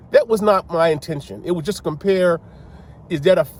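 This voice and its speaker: An American accent marks this man's speech. His tone is animated and somewhat breathy. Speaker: sports commentator. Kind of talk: casual monologue. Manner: animated, halting with repetitions.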